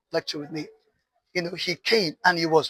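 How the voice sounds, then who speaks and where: A man with a Nigerian accent speaks very fast at a high pitch, his tone bright, sharp and animated. The sound is dry and close, with no echo. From northern Nigeria. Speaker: artist. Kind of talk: interview.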